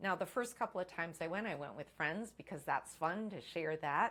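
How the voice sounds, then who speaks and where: In a normal speaking voice, this woman's pitch rises and falls in an ordinary way. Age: 60s. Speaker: first-time author. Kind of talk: casual talk to camera.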